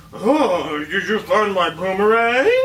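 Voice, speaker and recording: A put-on character voice with fairly high pitch goes at a fairly slow pace over clear background noise. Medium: solo performance.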